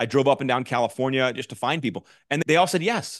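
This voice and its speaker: A very fast pace in dry, close sound with no echo and a quiet background. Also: man. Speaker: mortgage executive and coach. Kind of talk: casual interview chat.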